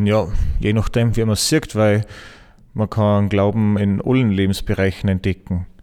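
An unremarkable speaking voice from a man, fairly low in pitch, at a moderate pace with very even loudness and fairly even intonation. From Austria, Salzburg region. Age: 30s. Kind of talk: interview.

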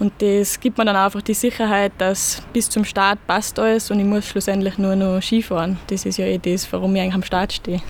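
A flat, monotone voice moves at a fairly quick clip with very even loudness and hardly any pauses. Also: woman, medium pitch for a woman. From Austria, Salzburg (Pinzgau). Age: 20s. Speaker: ski racer. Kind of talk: interview. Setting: outdoors in a parish garden.

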